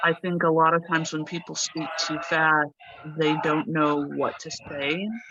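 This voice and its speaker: With a General American accent, a woman speaks in a flat monotone at a very deep, low pitch against noticeable background noise. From United States. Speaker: native English speaker guest. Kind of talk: casual interview. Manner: slow, deliberate with pauses.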